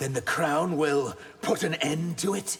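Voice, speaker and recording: A man puts on a cartoonish character voice, fairly high in pitch. He speaks at a fairly slow pace. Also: ordinary pitch variation. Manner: grave, restrained.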